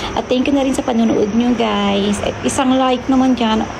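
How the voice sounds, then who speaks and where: Noticeable noise in the background, plus audible echo from the room. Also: woman. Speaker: vlogger. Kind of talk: casual vlog voiceover. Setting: veranda at home. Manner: stumbling speech; animated.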